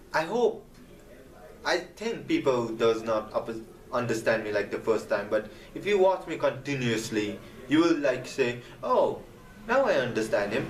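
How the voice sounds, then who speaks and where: A man speaks in a non-native accent at a moderate pace. He leaves long, frequent pauses. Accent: non-native accent, improved. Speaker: gaming video creator. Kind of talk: casual vlog advice talk. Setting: camera vlog.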